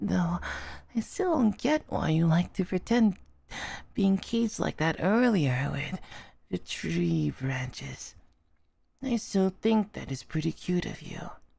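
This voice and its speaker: Putting on a high-pitched character voice, a man speaks at a fairly slow pace with long, frequent pauses. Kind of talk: soft romantic ASMR roleplay. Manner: tender, affectionate, wistful.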